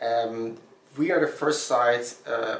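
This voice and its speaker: A man with a German accent at medium pitch, fairly even intonation, audible room echo and noticeable background noise. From Germany. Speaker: startup founder. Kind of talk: interview. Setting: Berlin. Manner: halting.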